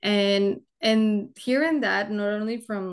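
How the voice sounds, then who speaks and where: A woman speaks with a Spanish accent and fairly even intonation. Her background is quiet. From Mexico (Monterrey). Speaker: engineer. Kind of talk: interview. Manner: halting.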